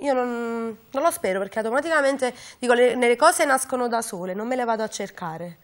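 Against a quiet background, a woman speaks at a fairly quick pace with a high pitch and lively intonation. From Naples, Capodichino; Naples. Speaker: singer; interview guest. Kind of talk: interview. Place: studio. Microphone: lapel.

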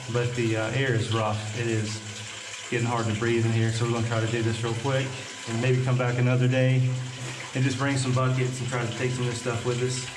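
A man speaks in a monotone, flat way at a fairly quick pace over noticeable background noise. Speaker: gold prospecting vlogger. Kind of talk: casual vlog commentary. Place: tunnel cave. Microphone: phone near.

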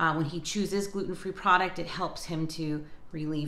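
A woman's fairly low-pitched, bright, sharp voice in a monotone, flat delivery, with audible room echo. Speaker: lifestyle vlogger. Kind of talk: casual vlog chat. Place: kitchen. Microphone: phone near.

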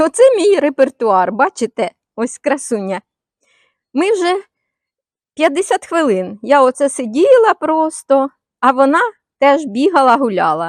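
A woman's high voice with very wide pitch swings, a very slow pace and long, frequent pauses, in a very clean recording with a silent background and a dry, close sound with no echo. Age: 70s. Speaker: retired video blogger. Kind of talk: casual monologue to camera. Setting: outdoors in the yard.

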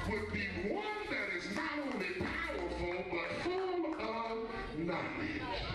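Speaking at a very slow pace, a man is heard with audible room echo and loud background noise. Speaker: speaker. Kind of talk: sermon. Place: church.

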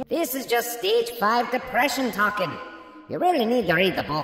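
Putting on a character voice, a man speaks at an extremely high pitch and a moderate pace, with light background noise and a clear echo. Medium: comedy sketch. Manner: dry, matter-of-fact.

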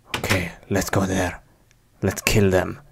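Delivered in a put-on character voice with vocal fry, the speech moves at a fairly slow pace with little pitch movement.

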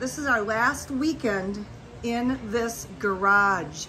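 Light background noise behind a female voice. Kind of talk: casual vlog tour narration. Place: garage. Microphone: phone near.

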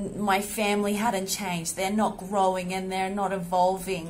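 A woman speaks with an Australian accent over light background noise. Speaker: women's health entrepreneur. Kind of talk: personal vlog monologue. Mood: reflective, grateful. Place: home room. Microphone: phone near.

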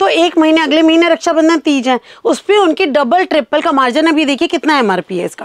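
An extremely high-pitched woman talks at a moderate pace with hardly any pauses. Her pitch varies in an ordinary way against a quiet background. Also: dry sound with no echo. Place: shop. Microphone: lapel.

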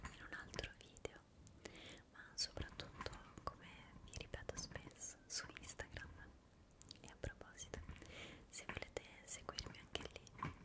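A woman whispers in a soft-spoken voice with a gentle tone. Her speech has long, frequent pauses. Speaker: ASMR creator. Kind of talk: soft-spoken casual chat. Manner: soft close whisper, slow and gentle. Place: home room.

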